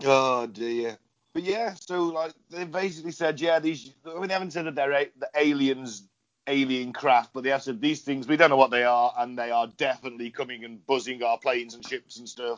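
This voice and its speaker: A man with an English accent talks at a fairly quick pace, his pitch medium with ordinary variation. His loudness swings widely. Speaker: podcast host. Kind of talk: casual chat. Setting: video call.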